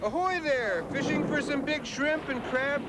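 A man's voice amid noticeable background noise. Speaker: voice actor. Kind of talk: TV commercial read.

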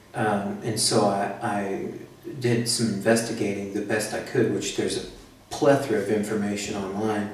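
Speaking in a monotone, flat intonation with an American accent, a man with a fairly low voice keeps a moderate pace amid audible room echo and noticeable background noise. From United States. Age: 30s. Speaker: patient. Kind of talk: interview. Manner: hesitant, many fillers.

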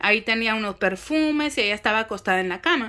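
A woman talks in a fairly high pitch at a fairly quick pace, with a bright, sharp tone. The background is quiet. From Mexico City. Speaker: spiritual content creator. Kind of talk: casual monologue vlog. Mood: calm, reflective. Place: home room. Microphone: phone near.

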